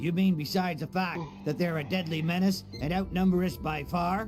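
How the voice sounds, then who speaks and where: A man speaks in a put-on character voice, pitched high, at a moderate pace. Music plays clearly in the background. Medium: video game. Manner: sardonic.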